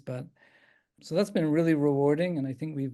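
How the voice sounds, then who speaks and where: Over a quiet background, a man with a slight Irish accent speaks in a dark, mellow tone at a fairly high pitch, with fairly even intonation. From Ireland, Dublin. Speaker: geriatric psychiatrist. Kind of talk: talk answering questions. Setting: video call.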